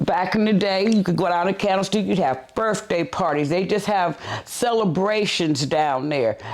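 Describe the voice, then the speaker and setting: At a moderate pace, a woman with an American accent uses a normal speaking voice, medium in pitch with ordinary pitch variation. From San Francisco, California. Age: 60s. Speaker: senior resident. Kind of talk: documentary interview.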